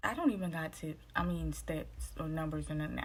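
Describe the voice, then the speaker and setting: The voice is somewhat breathy and keeps a moderate pace. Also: woman. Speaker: vlogger giving dating advice. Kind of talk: casual vlog monologue. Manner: low, quiet voice.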